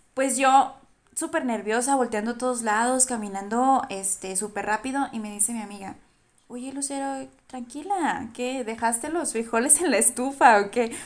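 The speaker keeps a moderate pace and ordinary pitch variation while the loudness swings widely. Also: woman, high pitch for a woman. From Durango, Mexico. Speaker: podcast guest, traveler. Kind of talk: casual chat.

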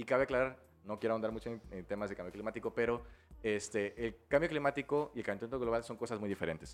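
Very rapid male speech with typical rise and fall in pitch. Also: medium pitch for a man. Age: 20s. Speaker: biology student and environmentalist. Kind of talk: interview conversation.

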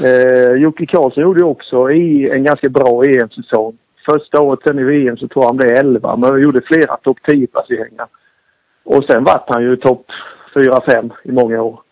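A man with a plain, everyday voice, medium pitch and a moderate pace. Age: 40s. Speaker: former motocross racer. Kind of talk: casual interview. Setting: phone call.

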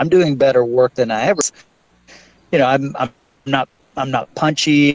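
A man talks at a moderate pace with a fairly high pitch and ordinary pitch variation. The sound is dry and close with no echo, and he leaves long, frequent pauses. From Ontario, Canada. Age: 40s. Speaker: MMA investigative journalist. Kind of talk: interview. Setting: call.

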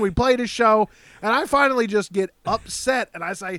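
An animated male voice at a moderate pace, dry and close with no echo. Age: 30s. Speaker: podcast co-host. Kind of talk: casual chat.

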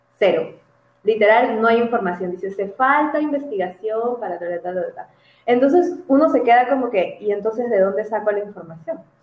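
A woman has a normal speaking voice with a fairly high pitch. She talks at a moderate pace with ordinary pitch variation. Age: 20s. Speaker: psychologist. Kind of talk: casual interview.

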